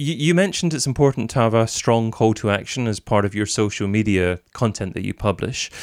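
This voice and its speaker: A man has a normal speaking voice, pitched in the middle range and varying in pitch in an ordinary way. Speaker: podcast host. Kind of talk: scripted intro then interview chat.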